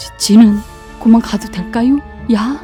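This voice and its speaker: The speech moves at a moderate pace. Music can be heard in the background. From Jecheon, North Chungcheong, South Korea. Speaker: non-professional voice actor, local native. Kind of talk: folk tale narration in regional dialect.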